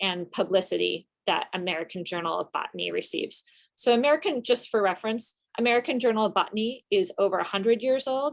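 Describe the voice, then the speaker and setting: Against a quiet background, a woman speaks at a very fast pace. Her intonation is lively. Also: hardly any pauses. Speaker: journal editor and workshop presenter. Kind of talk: workshop presentation. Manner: casual with many filler ums.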